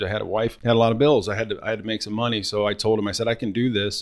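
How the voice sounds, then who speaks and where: A man with a Midwestern American accent, fairly low-pitched, very fast, in a monotone, flat delivery. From Northwest Ohio. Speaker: car sales coach. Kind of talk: casual chat.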